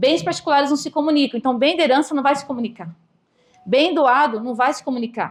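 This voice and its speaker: A woman talks very fast at a high pitch with ordinary pitch variation. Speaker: real estate lawyer giving a talk. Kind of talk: lecture.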